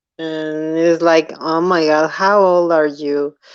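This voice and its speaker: A woman with a fairly low pitch and a non-native accent, at a very slow pace. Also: quiet background. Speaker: commentary youtuber. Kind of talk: casual chat. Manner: animated.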